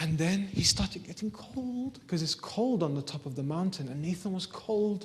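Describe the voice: Lively intonation over plain reading aloud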